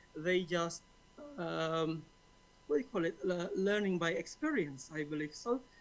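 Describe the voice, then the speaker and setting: A man's high-pitched voice in an Indonesian accent, at a fairly slow pace with ordinary pitch variation and long, frequent pauses. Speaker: conference participant asking a question. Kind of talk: audience question. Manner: halting, many fillers.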